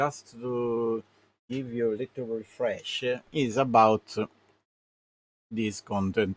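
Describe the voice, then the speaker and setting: Very slowly and with long, frequent pauses, a man with a non-native accent speaks at medium pitch with fairly even intonation, the sound dry and close with no echo. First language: Italian. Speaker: gaming streamer. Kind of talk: live game commentary. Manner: halting, many fillers.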